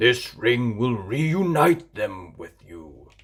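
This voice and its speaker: A put-on character voice growls. It moves at a very slow pace. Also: man, medium pitch for a man. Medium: read story.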